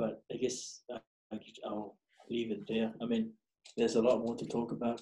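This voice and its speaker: In a Samoan accent, a man talks at a moderate pace and medium pitch. His tone is dark and mellow, broken by long, frequent pauses. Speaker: podcast guest, graphic designer. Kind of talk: casual interview. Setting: video call. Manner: casual, profane.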